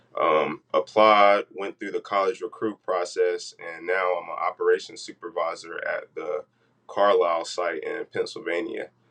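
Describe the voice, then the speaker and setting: A man with an American accent at a fairly slow pace, in a dry, close sound with no echo. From US South, North Carolina. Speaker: operations supervisor, graduate employee. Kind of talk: podcast interview. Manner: hesitant, many fillers.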